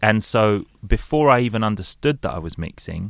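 In a London accent, a man talks at a fairly quick pace with ordinary pitch variation on a very clean recording with a silent background. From London, England. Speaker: DJ and radio presenter. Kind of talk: casual chat.

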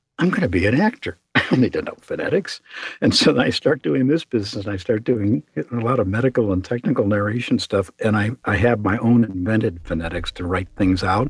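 With a Chicago accent and a fairly low pitch, a man talks at a fairly quick pace with lively intonation and hardly any pauses, in a dry, close sound with no echo. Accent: Chicago American. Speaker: voice actor and booth maker. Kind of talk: interview.

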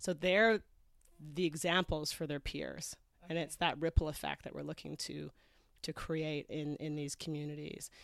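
A woman with a Canadian accent speaks at a moderate pace in a very deep, low voice, her intonation fairly even and her loudness swinging widely, on a very clean recording with a silent background. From Canada, Toronto. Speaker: charity founder. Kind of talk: interview. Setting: on a houseboat, shared microphone.

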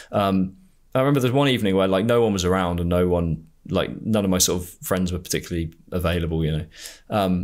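In a very clean recording with a silent background, a man with an English accent speaks very fast in a very deep, low voice, with ordinary pitch variation and very even loudness. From England. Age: 20s. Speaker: podcast host. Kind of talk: casual interview conversation. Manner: halting, many fillers.

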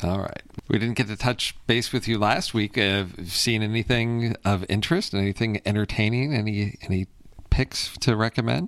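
A man talks at a moderate pace in a fairly low pitch with ordinary pitch variation. He has a plain, everyday voice. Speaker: podcast host. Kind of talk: casual chat.

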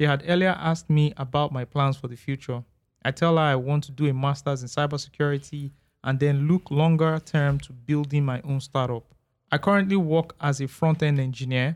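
A man with a Nigerian accent talks at a fairly quick pace with fairly even intonation and big swings in loudness. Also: fairly high pitch for a man. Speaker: podcast host. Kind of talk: casual chat.

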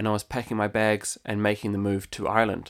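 Speaking at a fairly quick pace, a man with a New Zealand accent uses a medium pitch. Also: very clean recording, silent background. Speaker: podcast host and entrepreneur. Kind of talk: scripted podcast intro, monologue.

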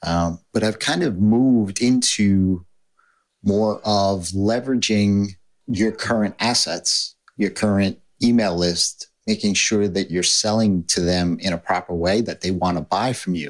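A man's fairly low voice at a fairly slow pace with fairly even intonation, on a very clean recording with a silent background. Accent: New York. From New York. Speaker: podcast host. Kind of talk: casual interview.

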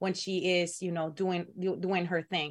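The woman's pitch is fairly low. She keeps to a moderate pace. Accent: Spanish. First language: Spanish. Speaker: pro wrestler and co-host. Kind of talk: casual chat. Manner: halting.

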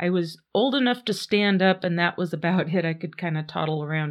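This woman has a normal speaking voice, fairly low in pitch, with ordinary pitch variation. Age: 50s. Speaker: podcast host. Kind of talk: casual storytelling monologue. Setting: home studio.

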